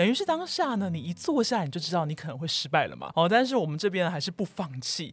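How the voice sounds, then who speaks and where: A woman with a Taiwanese accent and a fairly low, somewhat breathy voice speaks at a very fast pace, with very wide pitch swings and hardly any pauses. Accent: Taiwanese Mandarin. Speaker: Korean-Chinese interpreter and Korean teacher. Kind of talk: interview.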